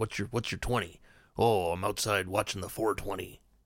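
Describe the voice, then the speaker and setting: A man speaks at a fairly slow pace in a put-on character voice, raspy and fairly low-pitched. The recording is very clean, with a silent background. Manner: gruff pirate-like.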